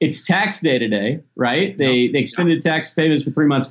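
A plain, everyday voice from a man with an American accent, fairly high in pitch, at a moderate pace with lively intonation. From US South (Tennessee and Mississippi). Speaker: toy company executive. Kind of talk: interview.

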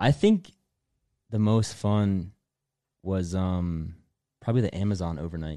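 A man with an American accent speaks at a fairly slow pace in a very deep, low voice with a dark, mellow tone and ordinary pitch variation. He leaves long, frequent pauses against a quiet background. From US, Delaware. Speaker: former team member, content creator. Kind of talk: casual chat.

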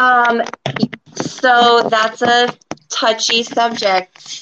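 An American accent at a very slow pace. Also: woman. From Florida. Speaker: esthetician. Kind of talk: interview. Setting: video call.

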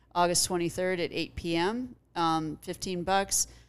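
A woman with a Californian accent speaks at a moderate pace in a fairly low pitch. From Los Angeles, Pacific Palisades. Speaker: comedian. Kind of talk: casual chat.

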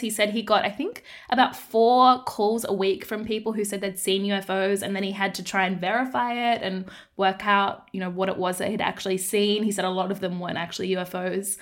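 A woman with an Australian accent at a fairly quick pace, with fairly even intonation. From Australia, Darwin, Northern Territory. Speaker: investigative journalist and podcast host. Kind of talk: casual interview chat.

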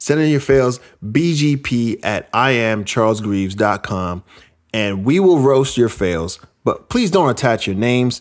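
In a very clean recording with a silent background, a normal speaking voice talks with an American accent. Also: man. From New York. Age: 40s. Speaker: podcast host. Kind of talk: casual chat.

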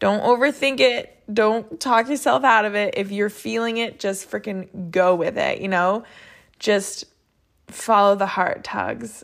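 An animated tone at a fairly slow pace, ordinary pitch variation, and a very clean recording with a silent background. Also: woman. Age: 30s. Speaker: podcast host and motorsport media creator. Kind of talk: solo podcast monologue. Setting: home living room. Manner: animated, conversational with many fillers.

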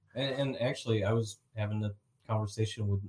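A man speaks with a fairly low pitch and a dark, mellow tone. His voice is somewhat breathy. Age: 40s. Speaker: podcast co-host. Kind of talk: casual chat.

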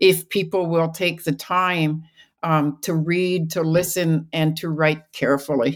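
A woman with an ordinary speaking voice talks at a fairly slow pace and fairly low pitch, keeping her intonation fairly even. The recording is very clean, with a silent background. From British Columbia, Canada. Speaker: archaeologist and sociology professor. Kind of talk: interview.

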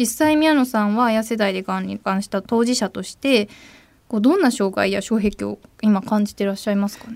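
A woman talks at a fairly quick pace with a fairly high pitch and ordinary pitch variation. Her loudness swings widely. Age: 20s. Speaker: radio host. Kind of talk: radio talk show. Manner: animated.

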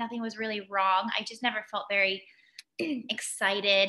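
A bright, sharp tone marks the voice. Its delivery comes at a moderate pace. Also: woman. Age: 30s. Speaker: founder of a women's community organization. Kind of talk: casual interview.

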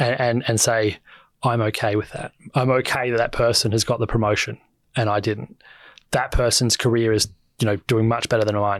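Speaking at a fairly quick pace, a man with an Australian accent holds a medium pitch in a monotone, flat intonation. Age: 30s. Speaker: author and finance commentator. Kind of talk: casual chat.

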